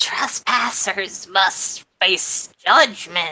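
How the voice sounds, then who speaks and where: A woman's raspy, put-on character voice. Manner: creepy, menacing.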